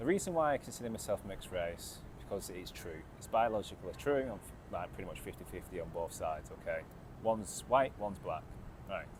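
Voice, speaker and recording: With an English accent, a man talks at a fairly quick pace in a fairly low pitch, using very wide pitch swings and big swings in loudness. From England. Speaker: vlogger. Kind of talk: casual vlog monologue. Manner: halting, many fillers and repetitions.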